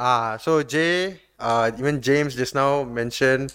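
Over a silent background in a very clean recording, a man speaks at a medium pitch. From Malaysia. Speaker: podcast host. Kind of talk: casual chat.

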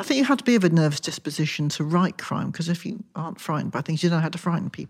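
Somewhat breathy and fairly low in pitch, a woman speaks at a very fast pace with lively intonation. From Wiltshire, southwest England. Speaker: crime novelist. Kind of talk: casual interview.

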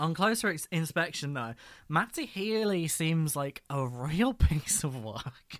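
A man speaks fairly slowly with lively intonation in a plain, everyday voice, on a very clean recording with a silent background. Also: fairly high pitch for a man. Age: 20s. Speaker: podcast co-host. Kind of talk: scripted narration; casual chat.

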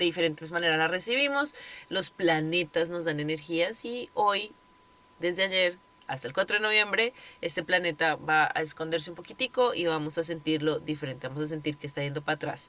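Lively in intonation and bright and sharp in tone, a woman with a fairly low pitch talks at a fairly quick pace. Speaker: podcast host and yoga teacher. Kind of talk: casual monologue. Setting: recording in her closet.

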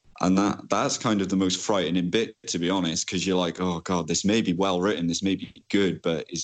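A man with a Welsh accent speaks at a very deep, low pitch. His intonation is monotone and flat, and his pace is fairly quick. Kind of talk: interview. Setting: Skype call. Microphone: choppy line.

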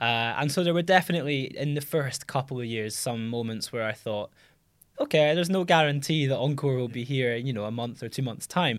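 In a very clean recording with a silent background, a man with a plain, everyday voice speaks at a fairly quick pace, with medium pitch and ordinary pitch variation. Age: 20s. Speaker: startup founder and CEO. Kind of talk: interview.

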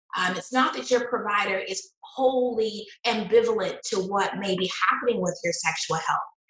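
In an American accent, a woman with a plain, everyday voice speaks at a moderate pace, her fairly high pitch showing ordinary variation. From US South. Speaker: university professor and health communication researcher. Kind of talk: interview conversation.

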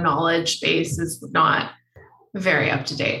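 A woman speaks at a fairly low pitch. Her pace is very slow. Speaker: podcast host. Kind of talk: casual interview chat.

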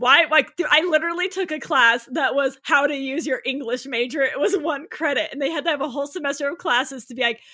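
A woman talks in a raised, projected voice at a fairly quick pace with hardly any pauses. Her high pitch carries a bright, sharp tone and ordinary pitch variation. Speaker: author. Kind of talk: casual chat.

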